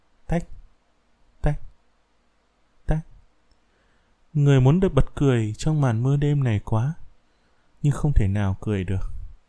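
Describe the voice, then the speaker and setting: A man's medium-pitched, somewhat breathy voice, dark and mellow in tone, with lively intonation. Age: 20s. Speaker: podcaster. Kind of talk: reading aloud.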